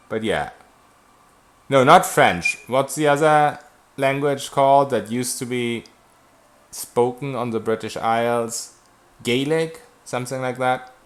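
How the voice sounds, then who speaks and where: A man with a German accent speaks at a medium pitch and a fairly slow pace. His intonation is fairly even, broken by long, frequent pauses. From Germany. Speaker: video game streamer. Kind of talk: live gameplay stream, reading and answering chat. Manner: casual, conversational.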